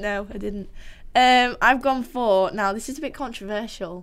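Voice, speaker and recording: With a northern English accent, a woman speaks at a moderate pace. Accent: mild northern English. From Yorkshire, northern England. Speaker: podcast host. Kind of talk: casual banter chat. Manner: jokey, animated.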